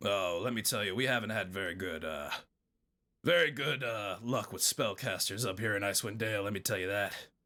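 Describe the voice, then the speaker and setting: Putting on a character voice, a man speaks at a fairly quick pace in a raspy, fairly low tone. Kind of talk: folksy tavern-keeper voice. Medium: actual play. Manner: rambling, folksy, repeats "let me tell you".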